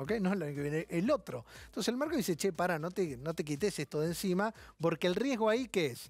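Faint music plays in the background of a dry recording with no echo. A man with a high pitch talks at a very fast pace with lively intonation. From Argentina. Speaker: TV finance show host. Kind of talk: TV interview. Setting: TV studio. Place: studio. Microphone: lapel.

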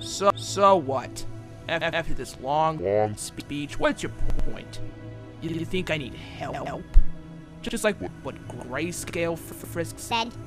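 At a very slow pace, a put-on character voice plays out over clear music in the background. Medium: fan dub. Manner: sarcastic, defensive, gruff.

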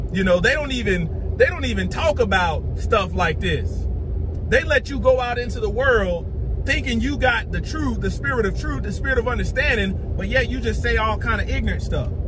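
Over clearly audible background noise, a man speaks at a medium pace. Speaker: religious video preacher. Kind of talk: angry sermon-style rant, scolding and preaching with heated indignation. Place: car. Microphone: phone near.

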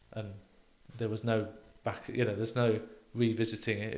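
This man speaks in a British accent at a moderate pace, his intonation monotone and flat. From UK. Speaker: real estate professor. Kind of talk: interview conversation. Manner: halting, repeats words. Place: studio. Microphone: studio mic.

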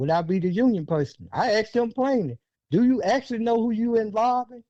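Here a man with an American accent speaks at a moderate pace. His tone is dark and mellow, with lively intonation. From US South. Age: 60s. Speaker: former union representative and school board member. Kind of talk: podcast interview.

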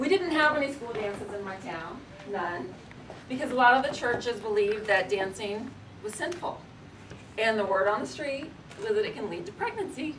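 An American accent with very wide pitch swings, big swings in loudness, a moderate pace, long and frequent pauses, and light background noise. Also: woman, fairly high pitch for a woman. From Oklahoma, US. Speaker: storyteller / performer; storyteller. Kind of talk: storytelling performance. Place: shop. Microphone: camera far.

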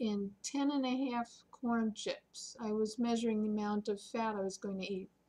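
A woman's somewhat breathy voice, dark and mellow in tone, with fairly even intonation and a fairly slow pace. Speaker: senior vlogger. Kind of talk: casual vlog chat. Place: home room. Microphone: webcam.

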